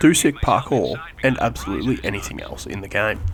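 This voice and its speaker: At a fairly quick pace, a man talks with lively intonation at medium pitch. Noticeable background noise runs underneath. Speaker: gaming commentary YouTuber. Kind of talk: comedic gameplay voice-over narration.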